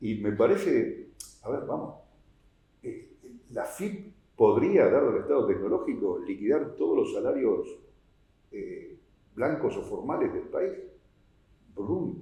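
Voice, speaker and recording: With a Rioplatense accent, a man speaks very slowly, leaving long, frequent pauses, and the room echo is audible. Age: 60s. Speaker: tax policy expert, accountant. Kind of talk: oral history interview. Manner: hesitant, many fillers.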